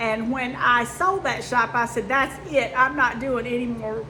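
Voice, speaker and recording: A high-pitched woman speaks at a moderate pace. Audible room echo and noticeable background noise surround her voice. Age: 50s. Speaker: sewing and quilting youtuber. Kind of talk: casual chat. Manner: chatty, with fillers.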